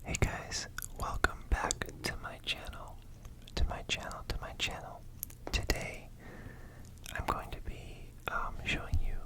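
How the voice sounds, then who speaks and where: A man whispers at a fairly slow pace, with long, frequent pauses and noticeable background noise. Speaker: ASMR vlogger. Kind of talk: whispered vlog voiceover about attending a match. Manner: whispered, soft.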